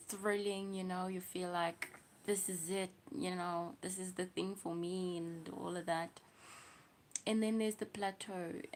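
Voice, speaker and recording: A woman's medium-pitched voice with a South African accent, a fairly slow pace and fairly even intonation. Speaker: livestreamer. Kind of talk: casual livestream chat.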